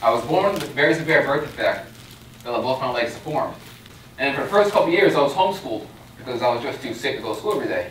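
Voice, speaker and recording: In an American accent, a man talks at a very fast pace with lively intonation and a fairly high pitch. Light background noise and audible room echo come through. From Long Island, New York. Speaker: youth motivational speaker. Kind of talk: motivational pep talk to a university audience. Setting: stage with audience. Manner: earnest, emphatic, direct; upbeat, inspiring, warmly humorous. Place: hall.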